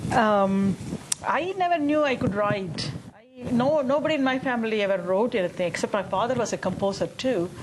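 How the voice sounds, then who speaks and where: A woman with a Tamil accent speaks at a fairly quick pace in a fairly high voice, her pitch swinging very widely over noticeable background noise. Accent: Indian (Tamil) English. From India, Chennai. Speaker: musician. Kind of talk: panel discussion. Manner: animated.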